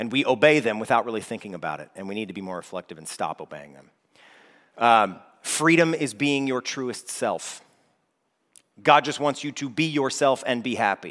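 Lively intonation from a man at a medium pitch and moderate pace, with big swings in loudness. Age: 30s. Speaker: worship leader preaching. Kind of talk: sermon. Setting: church.

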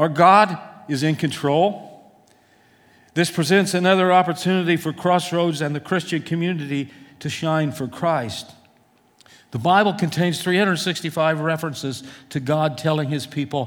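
A man with an unremarkable speaking voice, fairly high pitch and ordinary pitch variation, at a fairly slow pace. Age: 60s. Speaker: pastor. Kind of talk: sermon. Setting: church.

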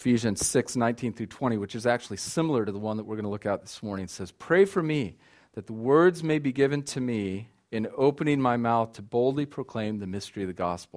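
In an unremarkable speaking voice, a man with an American accent talks at a fairly quick pace and medium pitch, with lively intonation on a very clean recording with a silent background. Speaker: missionary. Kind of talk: sermon. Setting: church.

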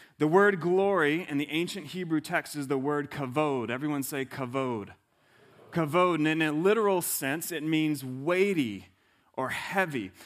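Very clean recording with a silent background, a man in an ordinary speaking voice. His pitch is fairly high, with ordinary variation, at a moderate pace. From US South. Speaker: pastor. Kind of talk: sermon.

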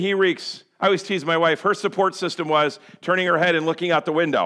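Loud and animated, a man talks at a very fast pace in a high pitch. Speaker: pastor. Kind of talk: sermon. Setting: church.

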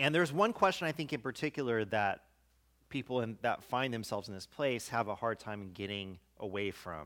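A man's bright, sharp tone with lively intonation, in a very clean recording with a silent background. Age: 40s. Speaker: pastor. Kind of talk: sermon.

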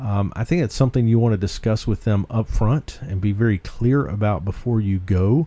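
With a North Carolina accent, a man speaks at a moderate pace with hardly any pauses, his fairly low, somewhat breathy voice dark and mellow in tone, with ordinary pitch variation. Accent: Southern US, North Carolina foothills. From rural North Carolina foothills. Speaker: podcast host, ministry leader. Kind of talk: podcast discussion about ministry. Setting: studio. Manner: uses many filler words.

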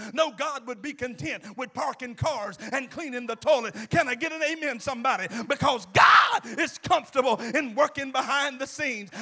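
A raised, projected voice at a moderate pace, with ordinary pitch variation and noticeable background noise. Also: man, extremely high pitch for a man. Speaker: preacher. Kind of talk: sermon, preacher in full flow with call-and-response. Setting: church with a live congregation. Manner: animated, emphatic, repeats lines and urges the congregation to answer; exhorting, pastoral.

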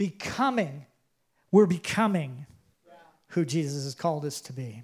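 The voice is loud and animated in tone, moving at a fairly slow pace. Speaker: pastor. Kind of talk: sermon. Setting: church with congregation.

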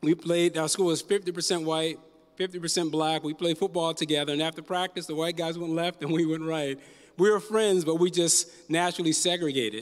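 At a fairly quick pace, a high-pitched man with an American accent speaks with fairly even intonation. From US East Coast (Newark, New Jersey; later Virginia, California). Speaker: pastor. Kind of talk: sermon. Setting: church.

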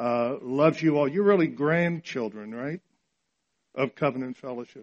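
A man speaks in a normal speaking voice with an American accent. His pitch is fairly high, with ordinary variation. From Japan (missionary kid, American parents). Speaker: pastor, regional church leader. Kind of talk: sermon. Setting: church service with congregation.

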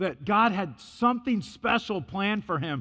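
Shouting loud at a high pitch, a man with a bright, sharp tone and lively intonation keeps a fairly slow pace over a quiet background. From US Midwest, Illinois. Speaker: missionary and preacher. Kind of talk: sermon. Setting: church. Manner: loud, talks as if yelling.

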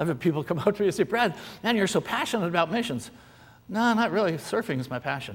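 Speaking at a very fast pace, a man swings his pitch very widely. He talks with an American accent. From California, US. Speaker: missionary. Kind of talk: sermon. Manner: animated.

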